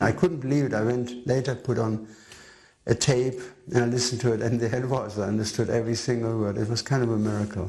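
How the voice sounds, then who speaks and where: A man talks at a very fast pace in a medium-pitched, somewhat breathy voice with a dark, mellow tone. His intonation stays fairly even. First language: not English. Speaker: devotee recalling memories. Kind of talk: documentary interview.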